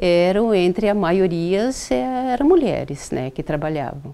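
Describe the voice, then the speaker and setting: A woman with a dark, mellow tone and a fairly low pitch speaks on a very clean recording with a silent background. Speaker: former mining company employee. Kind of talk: documentary interview.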